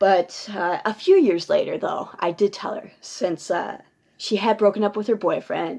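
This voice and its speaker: A woman speaks at a fairly slow pace with an Upper Midwest accent. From Minnesota. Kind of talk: personal ghost story told to camera. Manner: ad-libbed, with fillers.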